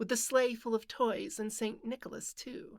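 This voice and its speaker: A woman's fairly high-pitched, normal speaking voice on a very clean recording with a silent background. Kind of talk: poetry reading.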